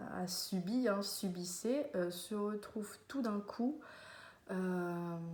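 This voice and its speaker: A woman speaks at a very slow pace and medium pitch, with ordinary pitch variation. Audible room echo surrounds her voice. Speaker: vlogger. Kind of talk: casual monologue to camera. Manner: hesitant, many fillers.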